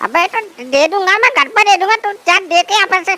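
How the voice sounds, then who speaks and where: This is a cartoonish character voice. It rushes along at a very fast pace. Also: woman, extremely high pitch for a woman. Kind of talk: comic rustic banter. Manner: gruff, complaining, rustic.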